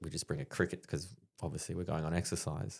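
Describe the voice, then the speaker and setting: The speaker is a man with an Australian accent. His pitch is very deep and low. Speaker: army veteran and stand-up comedian. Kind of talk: casual chat, storytelling. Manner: animated.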